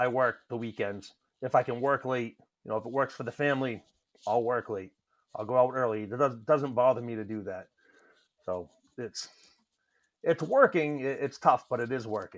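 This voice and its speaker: This man talks at a moderate pace with medium pitch and ordinary pitch variation. His loudness swings widely, and he leaves long, frequent pauses. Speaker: welding business owner. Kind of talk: casual chat.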